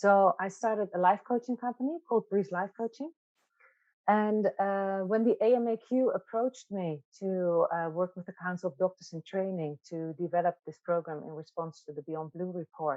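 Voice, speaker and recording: A woman with a Dutch accent, medium pitch and ordinary pitch variation, moderate pace, and big swings in loudness. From Netherlands. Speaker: psychiatrist and wellbeing facilitator. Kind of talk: webinar interview. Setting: online webinar.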